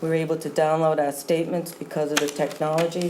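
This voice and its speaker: Speaking with an American accent, a woman has a very deep, low pitch and monotone, flat intonation at a fairly quick pace. Audible room echo and noticeable background noise are present. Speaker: town treasurer. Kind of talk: formal report at a town board meeting. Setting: town board meeting room. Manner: formal.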